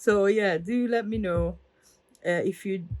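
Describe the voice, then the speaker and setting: A woman is speaking. She has an Italian accent. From Italy. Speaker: crafter. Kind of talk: tutorial. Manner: halting.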